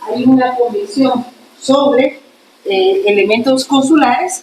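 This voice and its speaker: A woman's high pitch with very wide pitch swings, at a fairly slow pace over noticeable background noise. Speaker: law professor. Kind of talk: lecture. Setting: classroom.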